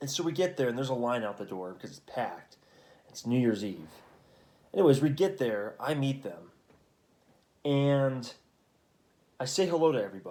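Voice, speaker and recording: Quiet and dark, mellow in tone, a man's medium-pitched voice moves at a fairly quick pace with lively intonation, big swings in loudness, and long, frequent pauses. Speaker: vlogger. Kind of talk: casual chat. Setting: at home at night. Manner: hushed.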